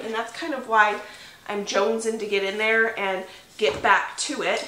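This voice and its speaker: There is audible room echo and light background noise. A woman speaks at a moderate pace. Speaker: homestead vlogger. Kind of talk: casual vlog chat. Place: home room.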